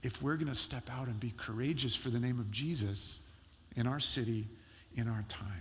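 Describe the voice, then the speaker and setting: At a moderate pace, a man speaks at a medium pitch with ordinary pitch variation in a plain, everyday voice. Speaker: pastor. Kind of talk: sermon; fervent prayer. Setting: church. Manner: earnest, pleading, heartfelt.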